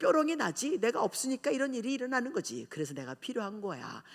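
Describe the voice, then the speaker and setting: On a very clean recording with a silent background, a woman with a bright, sharp tone and vocal fry swings her pitch very widely. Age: 60s. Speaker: pastor. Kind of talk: sermon. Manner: animated.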